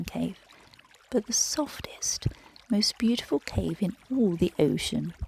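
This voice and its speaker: Gentle and soothing in tone, the voice moves at a fairly slow pace amid noticeable background noise. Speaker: yoga nidra guide, meditation narrator. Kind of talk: bedtime story narration. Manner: slow, gentle, soothing, calm.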